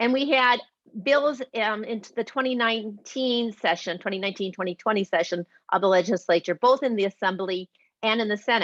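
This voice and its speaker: At a fairly quick pace and a fairly high pitch, a woman speaks with ordinary pitch variation in a dry, close sound with no echo. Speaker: volunteer advocate. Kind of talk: presentation. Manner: fast.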